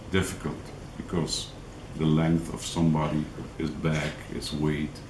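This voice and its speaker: A man speaks at a fairly slow pace with a non-native accent. There is audible echo in the room. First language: not English. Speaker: angling vlogger. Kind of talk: tutorial. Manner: halting, many fillers.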